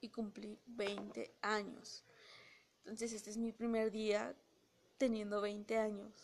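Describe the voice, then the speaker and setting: Over noticeable background noise, a woman with a fairly high pitch talks at a very slow pace in a monotone, flat intonation, leaving long, frequent pauses. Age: 20s. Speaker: podcast host. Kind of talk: casual monologue. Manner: halting.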